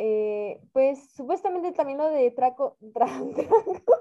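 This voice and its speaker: A woman talks rather slowly, her intonation lively. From Mexico. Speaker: podcast co-host. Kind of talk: casual chat.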